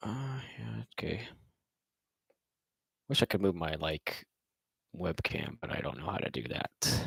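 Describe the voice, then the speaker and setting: A very deep, low-pitched man's voice with vocal fry, very wide pitch swings, a fairly slow pace and long, frequent pauses, dry and close with no echo. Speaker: robotics competitor and livestreamer. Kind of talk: casual livestream chat. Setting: live stream with webcam.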